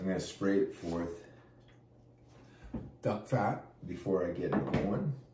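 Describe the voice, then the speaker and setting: A man speaks with a very deep, low pitch, and audible room echo surrounds his voice. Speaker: pastor and barbecue cook. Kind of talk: casual cooking tutorial. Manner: casual with many fillers.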